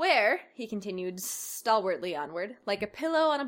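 The reader's voice is unforced, and the intonation is lively.

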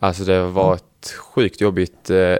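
A man is speaking. He has a very deep, low pitch. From Ängelholm, Skåne, Sweden. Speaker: footballer. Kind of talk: interview.

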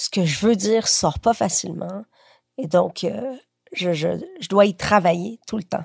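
A woman at a medium pitch and moderate pace, lively in intonation, recorded dry and close with no echo. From Quebec, moved from Chile at age 7. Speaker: writer. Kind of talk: casual interview. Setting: at home, lying in bed.

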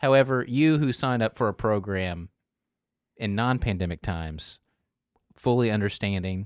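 Recorded very cleanly with a silent background and a dry, close sound with no echo, a man with fairly low pitch and ordinary pitch variation talks at a moderate pace, taking long, frequent pauses. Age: 40s. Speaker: political panelist. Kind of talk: casual political roundtable chat. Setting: studio roundtable.

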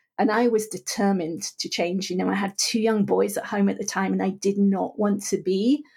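A woman's dark, mellow voice at a medium pitch with vocal fry, ordinary pitch variation and a moderate pace, on a very clean recording with a silent background. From England. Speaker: author and wellness guest. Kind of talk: casual interview chat.

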